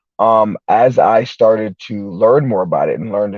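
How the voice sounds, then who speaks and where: A man has an unremarkable speaking voice. It sits fairly low, with ordinary pitch variation. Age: 30s. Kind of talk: interview answer.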